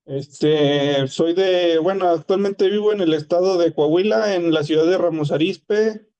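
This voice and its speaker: A high-pitched man's voice with a dark, mellow tone, fairly slow, with very even loudness, ordinary pitch variation and hardly any pauses. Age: 30s. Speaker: student, factory worker. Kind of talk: class discussion. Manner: hesitant.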